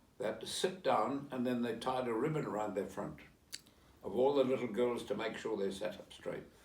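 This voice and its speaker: Fairly quick pace and ordinary pitch variation, with audible room echo. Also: man, medium pitch for a man. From South Africa. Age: 80s+. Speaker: interviewee, relative of historical figure. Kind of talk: interview. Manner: halting.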